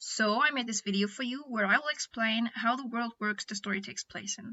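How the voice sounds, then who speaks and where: Spoken with a non-native accent, the voice keeps a fairly even intonation. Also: woman. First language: not English. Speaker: animator and storyteller. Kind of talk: informative explainer video. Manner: careful pronunciation. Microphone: built-in mic, poor audio quality.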